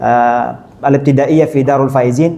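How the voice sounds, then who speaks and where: A man talks amid noticeable background noise, with audible room echo. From Saudi Arabia (Mecca). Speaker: Islamic preacher. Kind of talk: religious lecture. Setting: mosque.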